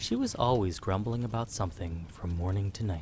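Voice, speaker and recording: Somewhat breathy, a man speaks in a fairly low pitch with a dark, mellow tone. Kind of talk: sleep story. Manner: whispered.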